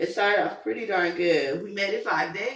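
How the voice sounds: A woman with a fairly bright tone speaks at a fairly slow pace, with audible room echo.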